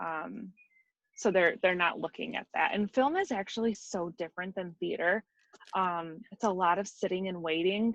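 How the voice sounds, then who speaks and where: A woman with a Midwestern US accent speaks at medium pitch and a moderate pace, with ordinary pitch variation. The sound is dry and close, with no echo. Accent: US Midwest. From Michigan, near Detroit. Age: 30s. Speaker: wig designer and makeup artist. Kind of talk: interview.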